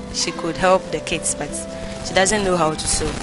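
A woman's voice, dry with no echo, over clear background music. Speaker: school teacher. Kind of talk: interview answer. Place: classroom.

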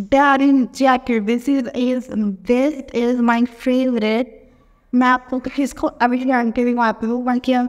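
Against a quiet background, a woman speaks at a very slow pace. Her high voice stays monotone and flat. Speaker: YouTube fashion vlogger; fashion haul vlogger. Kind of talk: try-on haul review. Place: home room. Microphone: echoey room sound.

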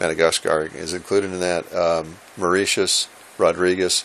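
This man has a low pitch and a fairly bright tone. He talks at a fairly slow pace.

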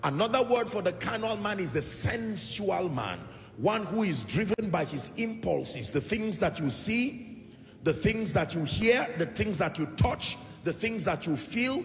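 Over noticeable background noise, a high-pitched man speaks fairly slowly with lively intonation. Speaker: preacher, church minister. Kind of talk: sermon, teaching to a congregation.

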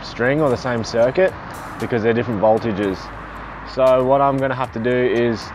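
A man's voice with music in the background. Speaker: van builder vlogger. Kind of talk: tutorial. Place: street.

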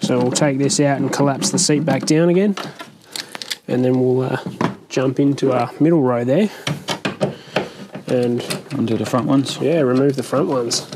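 Long, frequent pauses over noticeable background noise. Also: moderate pace. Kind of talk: tutorial. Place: garage. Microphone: lapel.

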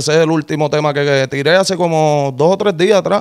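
This is an unremarkable speaking voice with fairly even intonation against a quiet background. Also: man. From Puerto Rico. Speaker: rapper, former prisoner; interview guest. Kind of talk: interview. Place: studio. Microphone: studio mic.

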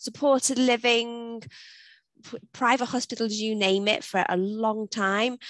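Recorded dry with no echo, a woman talks at a fairly slow pace with fairly even intonation. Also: quiet background. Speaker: webinar presenter. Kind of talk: webinar presentation. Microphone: video call.

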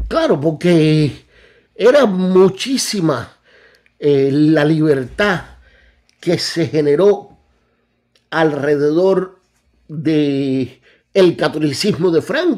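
Against a quiet background, a man speaks very slowly with long, frequent pauses and ordinary pitch variation. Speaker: political commentary youtuber; channel host. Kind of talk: commentary on replayed video. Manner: hesitant, many fillers. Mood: relaxed, cheerful. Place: home room.

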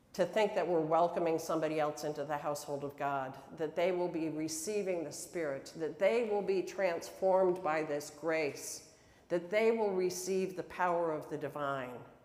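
Audible room echo around a woman with an American accent, at a moderate pace. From upstate New York. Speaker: pastor. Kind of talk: sermon. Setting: church. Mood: warm, earnest. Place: church.

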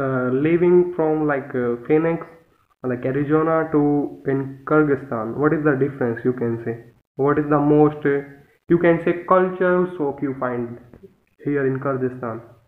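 A man with an Indian accent speaks at a fairly high pitch with fairly even intonation. Long, frequent pauses break up his speech, and audible room echo surrounds it. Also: moderate pace. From India, New Delhi. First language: Hindi. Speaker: english learner. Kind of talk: casual chat. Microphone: video call.

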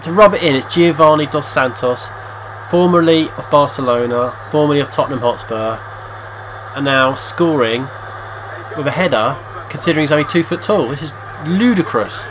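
Over noticeable background noise, a man with an English accent talks in a serious tone at a fairly high pitch, leaving long, frequent pauses. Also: ordinary pitch variation, moderate pace. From England. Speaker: video game player and commentator. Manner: tongue-in-cheek, switching between mock-serious commentary and groans.

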